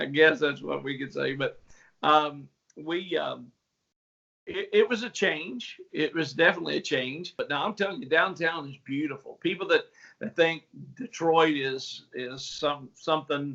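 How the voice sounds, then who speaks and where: A man speaks with a strong Appalachian accent. His pace is moderate. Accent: strong Appalachian Southern. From West Virginia and Tennessee. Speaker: pastor. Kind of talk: casual interview.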